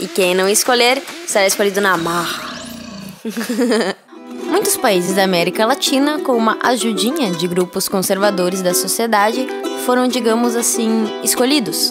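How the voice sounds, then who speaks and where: With music in the background, a woman speaks at a moderate pace, her lively intonation broken by long, frequent pauses. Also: medium pitch for a woman. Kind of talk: documentary narration.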